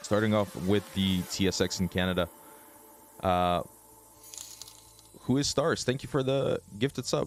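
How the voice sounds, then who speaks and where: Fairly low-pitched for a man, he talks at a moderate pace with lively intonation and long, frequent pauses over noticeable background noise. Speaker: trading livestreamer. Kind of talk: livestream market commentary. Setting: livestream. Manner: casual.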